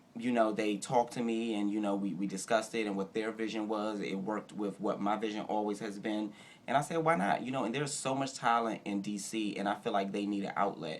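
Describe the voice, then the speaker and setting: At a very fast pace, this man talks in a fairly low pitch, and his pitch varies an ordinary amount. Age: 30s. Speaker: ballroom house father. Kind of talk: interview. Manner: loud.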